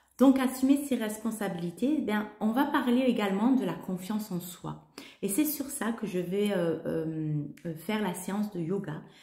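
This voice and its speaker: A woman speaks at a medium pitch with lively intonation and a fairly slow pace. The room echo is audible, and there is noticeable background noise. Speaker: holistic coach and yoga teacher. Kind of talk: spiritual talk to camera. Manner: halting, many hesitations.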